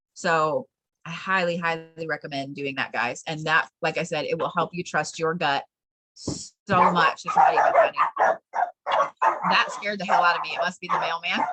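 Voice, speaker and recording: This voice has a bright, sharp tone and fairly even intonation, moving at a moderate pace with long, frequent pauses, in an American accent. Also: woman, fairly low pitch for a woman. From Colorado. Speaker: spiritual teacher. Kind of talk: online class.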